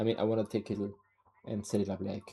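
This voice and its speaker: With a non-native accent, a man speaks at a moderate pace in a fairly low pitch with fairly even intonation. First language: not English. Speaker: streamer. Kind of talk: casual livestream chat.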